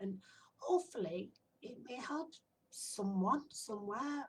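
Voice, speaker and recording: A woman speaks with a northern English accent. Her voice is somewhat breathy and her pace fairly slow. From northern England. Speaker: spiritual medium and sound healer. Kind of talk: casual self-introduction to camera. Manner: relaxed, hesitant with fillers.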